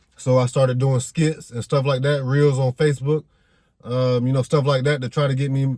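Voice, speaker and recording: The intonation is monotone and flat. The voice is somewhat breathy, with a dark, mellow tone. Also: man, dry, close sound with no echo. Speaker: YouTube content creator. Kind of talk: casual vlog monologue. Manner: fast, stumbling over words.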